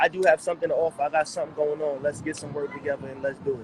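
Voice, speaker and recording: The speaker has a New York accent and talks at a very fast pace. Background noise is noticeable. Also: man. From New York City, Harlem. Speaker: rapper. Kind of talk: casual interview.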